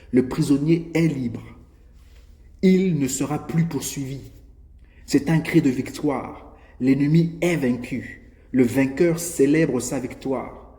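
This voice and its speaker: Talking at a very slow pace with long, frequent pauses, a man has a somewhat breathy, dark, mellow tone and fairly even intonation, with audible room echo. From Gabon. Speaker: preacher. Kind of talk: sermon.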